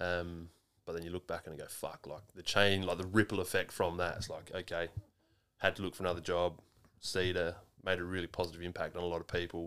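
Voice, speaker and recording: Someone with an Australian accent talks at a very fast pace in a flat monotone. The loudness swings widely. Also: man, very deep, low pitch for a man. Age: 30s. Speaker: podcast host. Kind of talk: casual chat.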